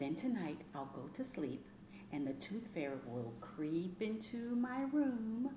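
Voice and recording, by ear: With audible room echo, a woman speaks at a fairly slow pace, her pitch fairly low and her intonation lively.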